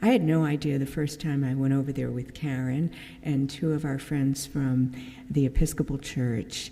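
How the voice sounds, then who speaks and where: A woman speaks at a very deep, low pitch with a dark, mellow tone, and room echo is audible. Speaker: church member giving mission talk. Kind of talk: church mission presentation. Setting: church service. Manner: casual, with many fillers.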